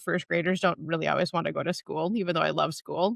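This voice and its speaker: In a slight northern Minnesota accent, a woman speaks with a fairly low pitch and a bright, sharp tone, the sound dry and close with no echo. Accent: slight Canadian-tinged northern Minnesota. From northern Minnesota, North Shore of Lake Superior. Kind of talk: casual interview conversation.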